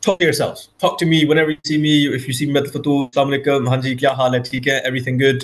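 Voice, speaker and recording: A man talks very fast in a fairly high, somewhat breathy voice with fairly even intonation. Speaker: Urdu language teacher. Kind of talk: online language class. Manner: repeats words, hesitant fillers.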